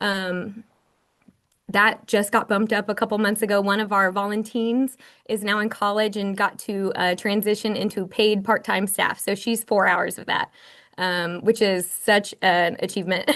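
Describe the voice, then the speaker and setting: Moderate-paced speech from a woman at medium pitch, monotone and flat, over a quiet background. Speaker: library director. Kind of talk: online presentation.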